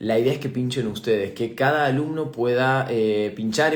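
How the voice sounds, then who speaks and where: With a Rioplatense accent, a man talks at a moderate pace and medium pitch, his intonation fairly even, and the room's echo can be heard. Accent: Argentine Spanish (rioplatense). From Argentina. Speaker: aesthetic medicine doctor and teacher. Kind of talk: live stream Q&A talk. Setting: live online stream. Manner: hesitant, many fillers (eh, repeated words).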